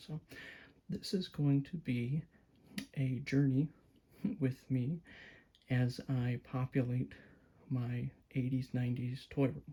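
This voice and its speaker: A soft-spoken man with a medium pitch and a dark, mellow, calm tone talks at a very slow pace in a somewhat breathy voice, with fairly even intonation and long, frequent pauses. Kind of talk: casual talk to camera, toy review. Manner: soft-spoken, calm.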